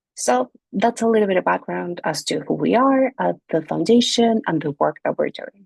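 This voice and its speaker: A woman with a Spanish accent is heard in a dry, close sound with no echo against a quiet background. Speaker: NGO director and language rights advocate. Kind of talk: prepared video presentation.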